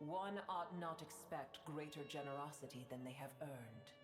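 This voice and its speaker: A put-on character voice at a low-to-middle pitch goes at a moderate pace over loud background music, with a slight echo. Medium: video game. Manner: cold, haughty, terse.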